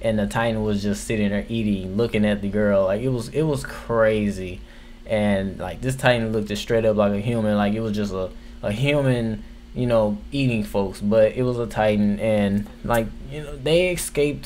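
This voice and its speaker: A man with a fairly low voice and ordinary pitch movement talks amid audible room echo. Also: moderate pace. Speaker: anime reviewer. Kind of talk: casual video review. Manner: casual, filler-heavy.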